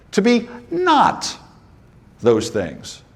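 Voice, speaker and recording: The man's tone is animated. Audible room echo surrounds his voice. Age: 60s. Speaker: business coach for auto repair shop owners. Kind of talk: conference presentation.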